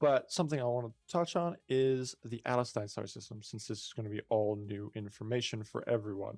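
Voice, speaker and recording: A man at medium pitch with ordinary pitch variation, a fairly quick pace, hardly any pauses and big swings in loudness, on a very clean recording with a silent background. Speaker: indie game developer. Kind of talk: tutorial. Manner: halting.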